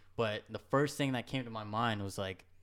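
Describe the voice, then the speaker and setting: An unremarkable speaking voice from a man with an American accent, fairly low in pitch, at a fairly quick pace. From New York, Hudson Valley (Goshen). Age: 20s. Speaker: skateboarder and sneaker designer. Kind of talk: casual chat.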